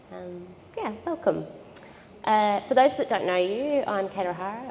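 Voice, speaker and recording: Her intonation is lively and her pace moderate. Noticeable background noise sits behind this woman's voice. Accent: Australian. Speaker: gallery director and discussion facilitator. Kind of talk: moderated panel discussion at a public event. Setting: gallery with live audience.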